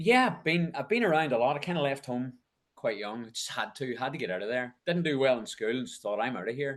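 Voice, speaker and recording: This man sounds energetic and enthusiastic, his intonation lively. He has a strong Northern Irish accent. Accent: Northern Irish, kept strong. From Northern Ireland, County Tyrone. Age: 50s. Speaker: ultramarathon race organiser. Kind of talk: podcast interview. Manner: energetic, enthusiastic.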